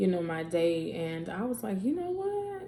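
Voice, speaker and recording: A woman's fairly low-pitched voice, with noticeable background noise and audible room echo. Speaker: podcaster and YouTuber. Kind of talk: casual vlog talk.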